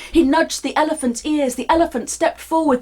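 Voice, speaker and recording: A woman speaks at an extremely high pitch with noticeable background noise behind her. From United Kingdom. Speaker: performance storyteller. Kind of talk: live storytelling performance of myth. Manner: dynamic, physical, expressive, sometimes funny.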